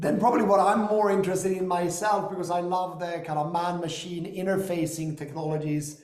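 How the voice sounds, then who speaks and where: The speaker has an American accent and fairly even intonation. Audible room echo can be heard. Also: man. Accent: European American. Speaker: company founder and investor. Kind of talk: business discussion.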